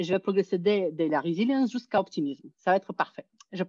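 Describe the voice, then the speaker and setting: The recording is dry and close, with no echo. A woman's tone comes across dark and mellow. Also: quiet background. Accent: non-native. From Soviet Union. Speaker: psychology professor. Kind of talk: conference talk. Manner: hesitant.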